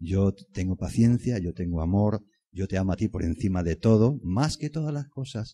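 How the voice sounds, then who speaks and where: A man speaks at a moderate pace in a fairly low, dark and mellow voice that is somewhat breathy. His intonation is lively, and the sound is dry and close with no echo against a quiet background. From Extremadura, Spain. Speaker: preacher. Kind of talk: sermon. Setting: church. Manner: earnest, persuasive, pastoral; rhetorical, repeats phrases for emphasis.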